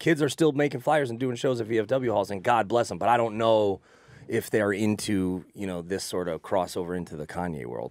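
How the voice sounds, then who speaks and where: A fairly low-pitched man with lively intonation, in a dry sound with no echo and a quiet background. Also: moderate pace. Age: 30s. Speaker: talk show guest. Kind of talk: casual chat. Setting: studio. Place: studio. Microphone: studio mic.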